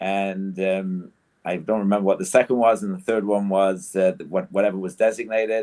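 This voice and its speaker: A man talks at a moderate pace with fairly low pitch and fairly even intonation. His tone is dark and mellow. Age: 60s. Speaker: rabbi and community council representative. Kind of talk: panel discussion. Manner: halting, many fillers.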